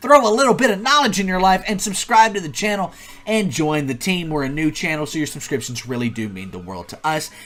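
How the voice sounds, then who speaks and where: Over noticeable background noise, a man speaks at a very fast pace in an energetic tone with a high pitch. His voice shows very wide pitch swings and big swings in loudness. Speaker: YouTube tutorial host. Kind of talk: tutorial.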